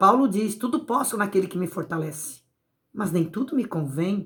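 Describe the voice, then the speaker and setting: A somewhat breathy woman's voice with lively intonation. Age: 60s. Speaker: evangelical preacher. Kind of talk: sermon.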